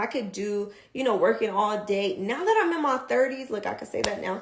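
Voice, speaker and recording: In an animated tone, a woman with a fairly high pitch and ordinary pitch variation speaks amid audible room echo and noticeable background noise. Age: 30s. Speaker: vlogger. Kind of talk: casual livestream talk. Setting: livestream. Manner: fast.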